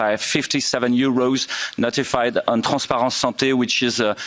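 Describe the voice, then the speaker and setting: Monotone, flat speech from a man with a French accent at medium pitch and a moderate pace, with noticeable background noise. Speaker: intensive care doctor. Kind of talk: conference presentation. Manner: halting, many fillers.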